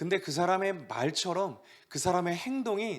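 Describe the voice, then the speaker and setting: The man's voice sits at a high pitch. Lively intonation runs through his speech. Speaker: youth pastor. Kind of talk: sermon. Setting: online church service.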